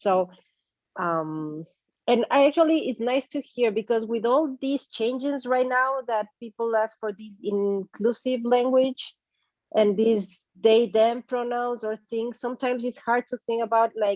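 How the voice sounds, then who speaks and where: The delivery is fairly slow with ordinary pitch variation, in a dry, close sound with no echo. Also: woman, fairly high pitch for a woman. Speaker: workshop participant, marketer. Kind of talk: casual discussion.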